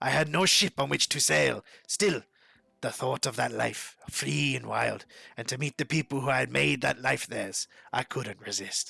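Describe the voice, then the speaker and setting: Here a man puts on a raspy character voice at a medium pitch. The pace is moderate. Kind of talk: game journal reading.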